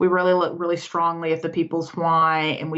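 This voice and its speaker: A woman's very deep, low voice with a slight Southern US accent, a moderate pace and monotone, flat intonation. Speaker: decluttering coach. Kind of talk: podcast interview. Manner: halting.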